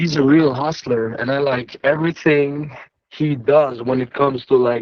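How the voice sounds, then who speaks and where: A man's fairly high voice with a non-native accent, fairly even intonation and a moderate pace. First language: not English. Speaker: house painter. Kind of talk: casual testimony. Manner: halting.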